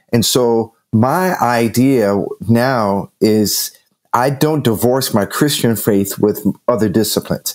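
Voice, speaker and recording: This man has an ordinary speaking voice at medium pitch. His pitch varies in an ordinary way. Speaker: nonprofit ministry CEO. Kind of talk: casual chat.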